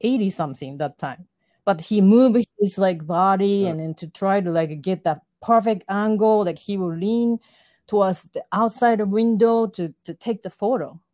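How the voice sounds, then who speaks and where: Speaking in a Japanese accent, a woman has a medium pitch, a dark, mellow tone and lively intonation at a moderate pace. The recording is very clean, with a silent background. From Japan, Yokohama. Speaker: fashion model and artist. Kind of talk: interview.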